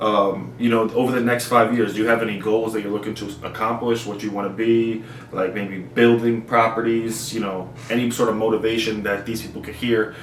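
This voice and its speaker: A man with an American accent speaks at a fairly quick pace in a medium pitch, his intonation monotone and flat. Audible room echo and noticeable background noise are present. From New Jersey. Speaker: YouTuber interviewer. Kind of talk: interview.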